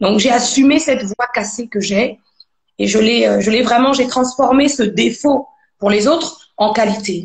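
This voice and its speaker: The speech moves at a fairly slow pace, with very even loudness and ordinary pitch variation. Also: woman, fairly high pitch for a woman. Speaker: gospel singer. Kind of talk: interview testimony. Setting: live video stream.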